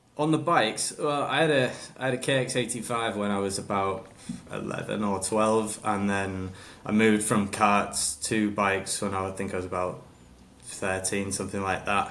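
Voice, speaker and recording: At a moderate pace, a voice in a Hull accent shows ordinary pitch variation, with audible room echo. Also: man, fairly low pitch for a man. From northern England, Hull. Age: 30s. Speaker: motorcycle racer. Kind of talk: casual chat.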